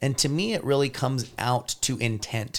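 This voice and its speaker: A man with a plain, everyday voice speaks at a moderate pace and medium pitch. His intonation is fairly even, and the recording is very clean with a silent background. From Washington state, US Pacific Northwest. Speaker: pickleball player and coach. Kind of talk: casual chat.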